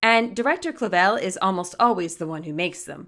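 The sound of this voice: A woman speaks at a fairly quick pace in a medium pitch. Her tone is fairly bright. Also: very clean recording, silent background.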